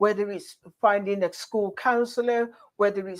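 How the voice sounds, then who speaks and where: A woman talks at a moderate pace and medium pitch with monotone, flat intonation. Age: 50s. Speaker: radio show host. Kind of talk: radio interview.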